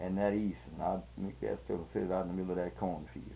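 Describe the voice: Speaking fast with vocal fry, a man keeps a low pitch and fairly even intonation.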